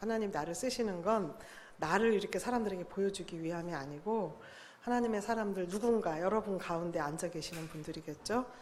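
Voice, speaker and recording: The speech moves at a fairly quick pace with ordinary pitch variation. Audible room echo can be heard. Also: woman, medium pitch for a woman. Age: 60s. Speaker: lay Bible study speaker. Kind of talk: church talk to congregation.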